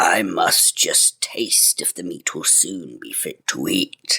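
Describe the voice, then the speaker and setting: A man puts on a raspy character voice. He speaks fairly slowly. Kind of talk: archaic fairy-tale speech. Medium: read story. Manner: gruff, bossy.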